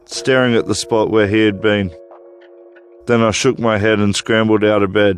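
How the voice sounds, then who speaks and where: A man at a fairly low pitch, monotone and flat at a moderate pace, with music in the background. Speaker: storyteller. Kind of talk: horror story narration.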